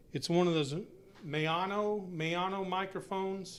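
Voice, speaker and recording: Loud and high-pitched, a man speaks fairly slowly with fairly even intonation, and audible room echo fills the space. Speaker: hobbyist live streamer. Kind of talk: casual live stream chat. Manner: halting.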